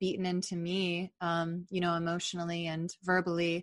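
A woman speaks at a fairly slow pace in a medium pitch. It is an ordinary speaking voice. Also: quiet background. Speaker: podcast host and author. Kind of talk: casual interview conversation.

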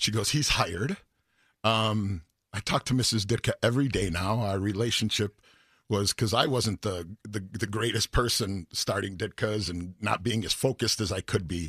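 A man with a normal speaking voice talks at a moderate pace in a fairly low pitch with ordinary pitch variation, on a very clean recording with a silent background. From Chicago, South Side. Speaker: singer. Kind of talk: casual chat. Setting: studio.

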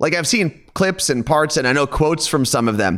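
Over a silent background in a very clean recording, a man with a plain, everyday voice, fairly high in pitch, speaks with lively intonation and an American accent. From New Jersey, outside New York City. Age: 30s. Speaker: radio host. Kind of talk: casual chat.

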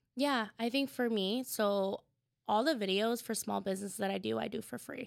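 In an ordinary speaking voice, a woman talks at a fairly quick pace with ordinary pitch variation. The recording is very clean, with a silent background. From Tacoma, Washington, US. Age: 30s. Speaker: food content creator and storyteller. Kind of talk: interview.

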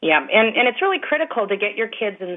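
A woman's normal speaking voice with an American accent, lively intonation and a moderate pace. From Chicago. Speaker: educational app creator. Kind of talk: interview.

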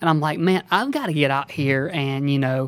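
With an Alabama accent, this voice moves at a fairly quick pace with ordinary pitch variation. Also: man. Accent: Southern US (Alabama). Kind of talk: casual interview chat.

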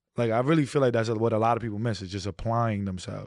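Speaking at a very fast pace, a man with a New York accent and a medium pitch comes through in a very clean recording with a silent background. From New York City. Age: 30s. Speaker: social media content creator. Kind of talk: casual chat. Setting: studio.

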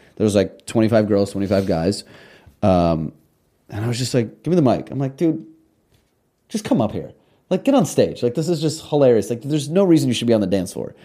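An American-accented man with a dark, mellow tone and medium pitch talks at a fairly quick pace, swinging very widely in pitch and leaving long, frequent pauses. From Russia, emigrated to US as child. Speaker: party host and nightlife personality. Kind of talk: casual chat.

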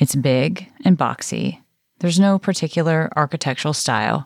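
Speech at a fairly slow pace with ordinary pitch variation, on a very clean recording with a silent background and a dry, close sound with no echo. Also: woman. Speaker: podcast host and narrator. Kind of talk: true-crime narration, scripted and read to the microphone. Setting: on location in Moscow, reporting. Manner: measured, somber, suspenseful storytelling tone.

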